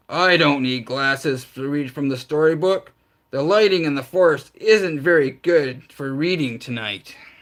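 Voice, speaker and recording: Using a gruff, put-on character voice, a man at a fairly high pitch speaks at a moderate pace. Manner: proud, defensive.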